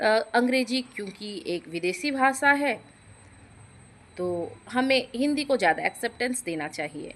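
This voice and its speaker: A woman's voice with very wide pitch swings. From Odisha, India. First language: Odia (speaking Hindi). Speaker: YouTube creator. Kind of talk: short vlog monologue. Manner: conversational with hesitations.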